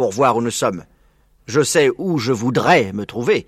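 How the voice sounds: A natural reading voice is heard. It is the only trait given.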